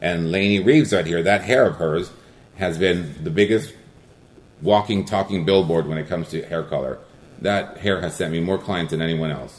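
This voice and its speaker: The man's voice sits very deep and low. His pitch moves with ordinary variation. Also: moderate pace. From Guatemala, raised in El Monte, California. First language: Spanish. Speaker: hair colorist. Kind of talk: interview.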